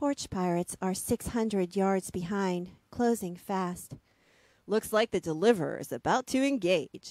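The woman's voice has a dark, mellow tone. The background is quiet and the sound is dry with no echo. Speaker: audiobook narrator and interviewer. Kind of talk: reading aloud. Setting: video call. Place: home room. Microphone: studio mic.

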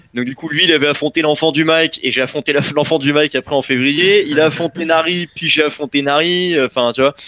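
A man's bright, sharp, fairly high-pitched voice at a fairly quick pace with hardly any pauses, dry with no echo. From Paris suburbs, Val-d'Oise; Île-de-France, France. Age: 30s. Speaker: battle rapper; interviewee. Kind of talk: interview. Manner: loud; animated. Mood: relaxed storytelling. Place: home room. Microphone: headset.

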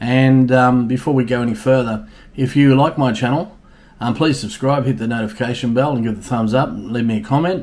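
Ordinary pitch variation marks this man's speech. His pace is fairly quick. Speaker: bar owner vlogger. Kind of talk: casual vlog chat. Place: home room. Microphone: webcam.

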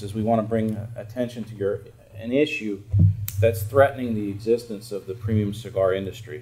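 A man is talking. His speed is moderate. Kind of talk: open message to lawmakers. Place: office. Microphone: camera far.

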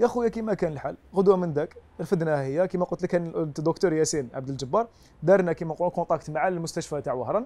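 Talking at a very fast pace, a man uses a high pitch and a dark, mellow tone with ordinary pitch variation. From Algeria. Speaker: volunteer and content creator; interview guest. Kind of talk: TV interview. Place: home room. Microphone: lapel.

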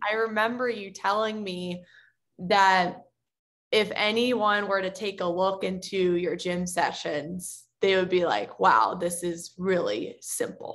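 A woman with an American accent at a very slow pace, with fairly even intonation. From United States. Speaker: podcast host and youth soccer performance coach; podcast host, youth soccer performance coach. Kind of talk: interview. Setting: video call. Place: home room. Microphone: video call.

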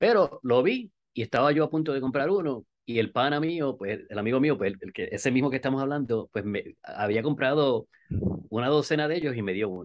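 This man has a Puerto Rican accent and medium pitch. He talks at a fairly quick pace against a quiet background. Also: lively intonation. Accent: Puerto Rican Spanish, dropped R's. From Puerto Rico. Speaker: skydiver and amateur radio operator; amateur radio operator. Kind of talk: interview. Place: home room. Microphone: video call.

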